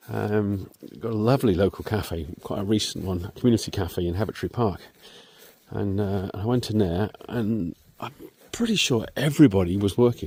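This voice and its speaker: A man speaks with a southwest English accent and a dark, mellow tone. His pitch is fairly low, with ordinary variation. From southwest England, Devon. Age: 60s. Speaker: vlogger. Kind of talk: casual vlog monologue. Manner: halting, many fillers.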